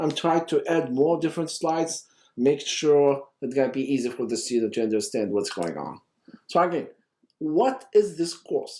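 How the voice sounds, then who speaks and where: With lively intonation, a man speaks in a dark, mellow tone at a fairly high pitch. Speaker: university lecturer. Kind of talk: lecture. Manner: fast when excited; animated.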